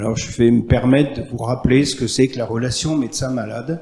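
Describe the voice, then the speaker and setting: Over noticeable background noise, a man talks at a moderate pace and medium pitch with fairly even intonation. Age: 70s. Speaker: general practitioner, audience member. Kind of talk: audience question at round table.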